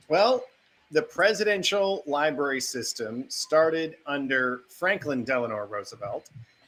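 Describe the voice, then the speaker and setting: Fairly slow, lively speech from a man with a fairly high pitch and an American accent, over noticeable background noise. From North Dakota. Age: 40s. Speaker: foundation executive. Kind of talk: interview.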